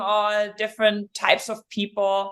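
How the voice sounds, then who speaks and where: Someone with a German accent speaks at a fairly slow pace in a very clean recording with a silent background. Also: woman. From Germany, rural village. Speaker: endurance coach and triathlete. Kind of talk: podcast interview.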